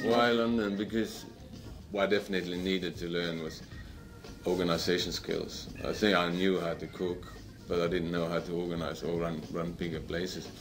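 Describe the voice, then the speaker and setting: Against music in the background and audible room echo, a man with a very deep, low pitch talks at a moderate pace with fairly even intonation. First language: not English. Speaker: chef. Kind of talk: interview. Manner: halting.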